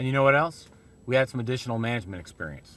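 A man speaks at a very fast pace. The sound is dry, with no echo. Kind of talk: corporate video talk to camera. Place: car.

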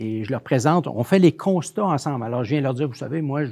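Very fast and with lively intonation, a man rattles off his words. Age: 60s. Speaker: research centre director and interviewer; interview host. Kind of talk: interview; interview introduction and conversation. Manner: repetitive stammering. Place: studio. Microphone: lapel.

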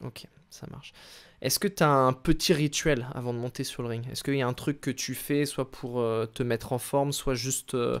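An unremarkable speaking voice from a man at a fairly slow pace against a quiet background. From France. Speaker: YouTube wrestling channel host. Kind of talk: interview. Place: home room. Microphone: studio mic.

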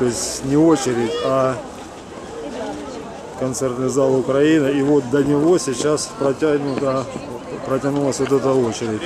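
A man talks at a moderate pace, with crowd noise behind him. He leaves long, frequent pauses. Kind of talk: casual vlog commentary. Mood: amazed, slightly ironic. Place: street. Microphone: phone near.

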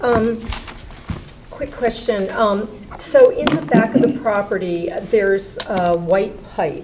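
Noticeable background noise sits behind a woman. She speaks at a very slow pace with long, frequent pauses. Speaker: commission member. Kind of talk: public meeting discussion. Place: meeting room. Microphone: podium.

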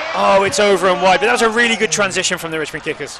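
A man's raised, projected voice with lively intonation and noticeable background noise. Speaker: soccer commentator. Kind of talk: live match commentary over highlights. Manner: fast, fluent play-by-play; light, chatty, laughs between plays.

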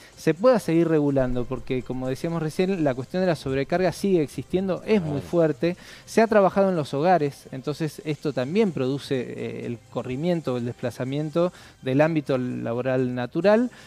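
The sound is dry, with no echo, as a man speaks at a moderate pace. His intonation is lively. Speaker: guest. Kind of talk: interview answer. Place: studio. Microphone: lapel.

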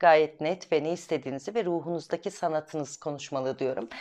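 A woman speaks in an animated tone with a fairly low pitch. The background is quiet. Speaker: astrology video host. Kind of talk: weekly horoscope monologue. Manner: fast. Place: home room. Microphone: lapel.

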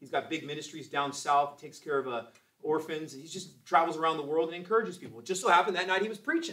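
This man speaks at a very fast pace in an animated tone, his fairly high pitch showing ordinary variation while his loudness swings widely. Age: 40s. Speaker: Sunday school teacher. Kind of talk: Bible class teaching. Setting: church. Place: classroom. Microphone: camera far.

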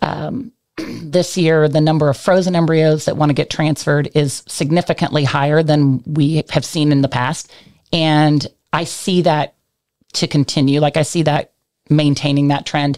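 Over a quiet background, a woman with a very deep, low pitch talks at a moderate pace with very even loudness and fairly even intonation. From Kansas. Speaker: equine reproduction center manager. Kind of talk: interview. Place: studio. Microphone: studio mic.

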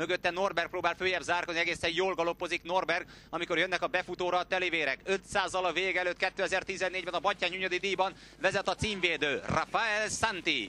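A man's animated, bright, sharp voice, high in pitch, at very even loudness with a dry, close sound and no echo. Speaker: racecourse commentator. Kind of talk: live race commentary, horse race call. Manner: fast, rhythmic, rising excitement toward the finish; animated, steady stream of names and positions.

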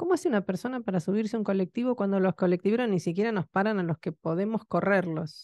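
Speaking at a very fast pace with hardly any pauses, a woman has a medium pitch, ordinary pitch variation, very even loudness and a dark, mellow tone, in dry sound with no echo and a quiet background. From Argentina. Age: 50s. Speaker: radio host. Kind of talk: radio talk show. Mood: indignant, critical of government. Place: studio. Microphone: studio mic.

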